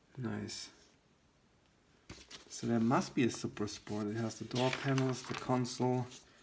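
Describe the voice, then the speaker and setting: Pausing long and often, a man speaks fairly slowly at a medium pitch with fairly even intonation over noticeable background noise. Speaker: car magazine collector / YouTuber. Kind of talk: casual commentary flipping through magazine. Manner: halting, hesitant.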